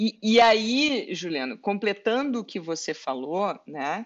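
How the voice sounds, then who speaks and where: A woman speaks with very wide pitch swings. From southern Brazil, Pelotas (Rio Grande do Sul). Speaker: lawyer and entrepreneur. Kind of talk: interview.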